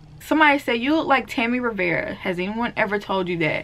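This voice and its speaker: A woman speaks with a Southern accent at a fairly high pitch. Her tone is bright and sharp. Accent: Southern, sounds country. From US South, deep south Mississippi. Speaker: beauty and natural hair vlogger. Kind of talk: casual Q&A vlog.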